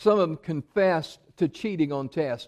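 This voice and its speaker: A man at a moderate pace, with lively intonation, in a dry, close sound with no echo. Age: 70s. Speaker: preacher. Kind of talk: sermon. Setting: church.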